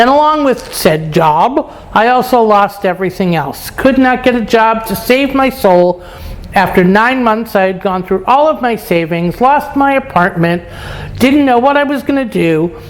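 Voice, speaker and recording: Noticeable background noise sits behind an American accent at a moderate pace. The intonation is lively. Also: woman, fairly high pitch for a woman. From New York, Brooklyn. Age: 60s. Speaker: lifestyle vlogger. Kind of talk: casual vlog monologue. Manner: casual, frank.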